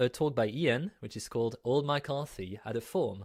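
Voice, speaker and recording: A man with a French accent at a fairly high pitch, fairly slow, in a dry, close sound with no echo on a very clean recording with a silent background. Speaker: conference host. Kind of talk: event hosting. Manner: casual.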